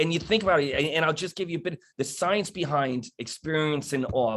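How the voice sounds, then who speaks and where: This voice belongs to a man. His speech carries a New York accent. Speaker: police wellness and resilience speaker. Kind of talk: panel talk. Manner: halting, with false starts.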